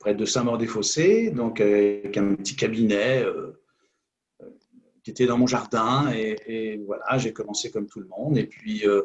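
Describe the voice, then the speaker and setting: This is a man's voice. He talks at a fairly slow pace. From Normandy, France. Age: 60s. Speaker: hypnotherapist. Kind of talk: interview. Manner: halting, many fillers.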